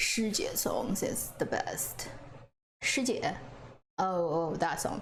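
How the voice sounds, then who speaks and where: A woman with a Chinese accent speaks at a very slow pace and very even loudness, with long, frequent pauses and audible room echo. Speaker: drama reviewer, streamer. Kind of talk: live stream chat. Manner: casual, hesitant with fillers.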